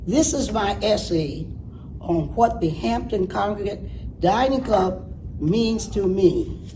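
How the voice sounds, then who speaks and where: The speech comes at a very slow pace. Room echo is audible and background noise is noticeable. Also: woman. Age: 90s. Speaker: senior program participant. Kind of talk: reading aloud an essay.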